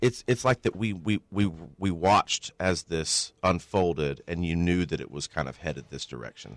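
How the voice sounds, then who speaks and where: A man with a Southern US accent speaks at a moderate pace in a very deep, low voice with vocal fry, the recording very clean and silent behind him, dry and close with no echo. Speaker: state politician. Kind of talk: radio interview.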